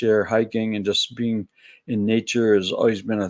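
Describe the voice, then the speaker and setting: This man talks at a moderate pace in a medium pitch, and the recording is very clean with a silent background. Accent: American. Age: 60s. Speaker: spiritual video blogger. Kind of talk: solo reflective monologue. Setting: at home, early morning. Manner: casual, conversational.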